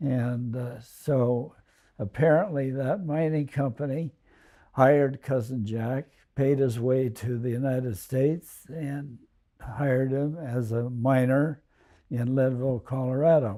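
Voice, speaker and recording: A medium-pitched man's voice, dark and mellow in tone. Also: fairly even intonation. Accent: American. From US West Coast (Alameda, California). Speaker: family elder telling life story. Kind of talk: oral history reminiscence. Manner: halting, many fillers.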